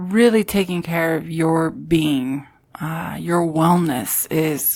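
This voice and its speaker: The recording is very clean with a silent background, capturing a woman whose pitch is fairly low. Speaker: community leader and advocate. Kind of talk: casual interview chat. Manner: loud; giggly.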